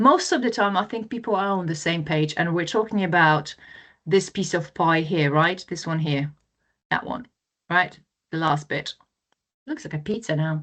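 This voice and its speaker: With long, frequent pauses, a woman with a fairly low voice speaks at a moderate pace and ordinary pitch variation against a quiet background. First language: not English. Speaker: webinar presenter. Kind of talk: webinar presentation. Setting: online webinar. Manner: casual, conversational.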